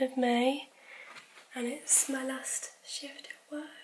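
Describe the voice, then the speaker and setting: Against noticeable background noise, a woman with a British accent and a high pitch speaks at a very slow pace in a monotone, flat intonation. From UK. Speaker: nurse vlogger. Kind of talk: casual vlog.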